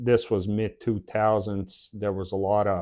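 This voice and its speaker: A man's dark, mellow voice, fairly low and flat in a monotone, against a quiet background. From Bosnia. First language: Bosnian. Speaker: YouTuber, former police officer. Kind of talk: personal story monologue. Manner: halting with filler words.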